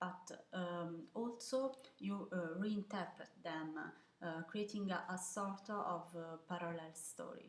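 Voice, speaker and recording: A woman with an Italian accent speaks very slowly at a fairly low pitch, with ordinary pitch variation. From Italy, Milan. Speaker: photographer. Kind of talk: video interview answering questions. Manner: hesitant, many fillers.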